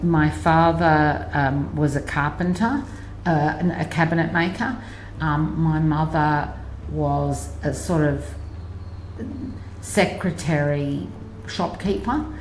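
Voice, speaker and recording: Amid noticeable background noise and audible room echo, a woman with an Australian accent speaks very slowly at a very even loudness, leaving long, frequent pauses. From Australia, Sydney. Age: 60s. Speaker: interviewee sharing life story. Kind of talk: life story interview. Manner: halting, many fillers.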